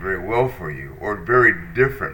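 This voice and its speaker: This man talks at a fairly slow pace with ordinary pitch variation. Audible room echo surrounds his voice. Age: 60s. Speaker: podcast host. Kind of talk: personal monologue. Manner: hesitant, with fillers.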